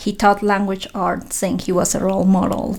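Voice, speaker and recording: Monotone, flat intonation marks a woman speaking with a Spanish accent. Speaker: professor. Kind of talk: interview. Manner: hesitant, many fillers.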